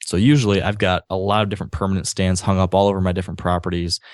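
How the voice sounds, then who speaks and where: With an American accent, a man talks very fast in a very deep, low pitch and monotone, flat intonation, the sound dry and close with no echo against a quiet background. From Michigan, Grand Rapids. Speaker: outdoor blogger and podcaster. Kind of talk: interview storytelling.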